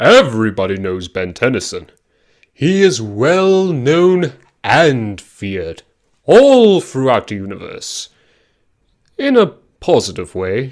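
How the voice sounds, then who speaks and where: A man's put-on character voice with a theatrical tone. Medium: short film. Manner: grandiose, theatrical.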